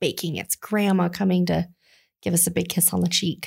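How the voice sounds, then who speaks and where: Somewhat breathy and fairly low in pitch, a woman with an American accent speaks at a moderate pace in a very clean recording with a silent background. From Colorado. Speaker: children's ministry director. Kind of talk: casual chat.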